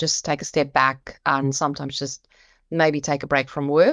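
A woman speaks with a very deep, low pitch and a monotone, flat intonation. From South Africa. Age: 50s. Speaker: insurance executive. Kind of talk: interview.

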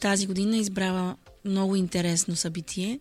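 A woman speaks at a moderate pace in a somewhat breathy, medium-pitched voice. The recording is very clean, with a silent background. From Bulgaria, Burgas. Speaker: singer. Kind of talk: casual chat.

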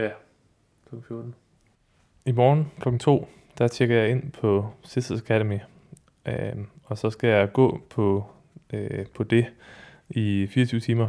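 Very slowly, a man speaks at a medium pitch with a dark, mellow tone and fairly even intonation. Long, frequent pauses break up his speech on a very clean recording with a silent background. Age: 30s. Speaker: freelance musician and writer. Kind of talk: interview testimony.

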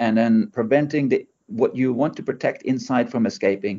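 A man with a Norwegian accent speaks at a fairly high pitch. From Norway. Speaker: startup CEO and engineer. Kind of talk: interview. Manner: hesitant with many fillers.

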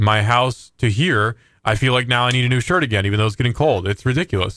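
A man's medium-pitched voice with fairly even intonation, an ordinary speaking voice, in a very clean recording with a silent background. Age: 20s. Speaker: podcast co-host. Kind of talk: casual chat.

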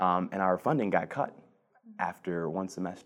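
In a very clean recording with a silent background, a man with an American accent speaks at a moderate pace and a very deep, low pitch. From Cleveland, Ohio, US Midwest. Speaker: policy advisor. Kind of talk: interview. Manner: hesitant, many fillers.

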